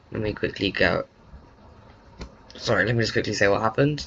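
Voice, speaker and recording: The voice is quiet. Its pitch varies in an ordinary way. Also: man. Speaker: video game commentator. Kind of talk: casual narration of a game recap.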